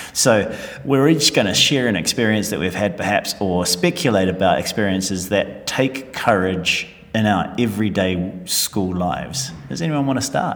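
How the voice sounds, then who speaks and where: Lively intonation marks this man's fairly low-pitched voice as he talks at a moderate pace. Music plays in the background. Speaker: podcast host, school staff. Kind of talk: casual chat.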